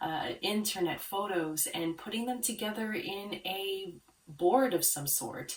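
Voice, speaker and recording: A woman's calm tone and lively intonation, set against noticeable background noise. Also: medium pitch for a woman. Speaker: branding consultant for art therapists. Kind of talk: tutorial.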